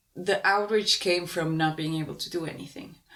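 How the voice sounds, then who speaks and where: With a Spanish accent, a woman speaks at a fairly low pitch. Her pitch varies in an ordinary way. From Uruguay. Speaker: podcast co-host. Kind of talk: casual conversation.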